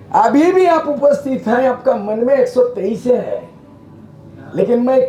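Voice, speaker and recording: An animated man speaks at an extremely high pitch with lively intonation and a fairly slow pace. Noticeable background noise runs beneath him. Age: 70s. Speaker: politician. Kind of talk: public speech. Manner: forceful, animated.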